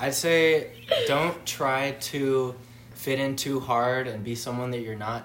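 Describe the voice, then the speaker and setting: Speaking in an American accent, a man talks at a medium pitch and a fairly slow pace with fairly even intonation. Audible room echo is present. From Southern California, Santa Clarita. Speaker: college student. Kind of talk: casual chat.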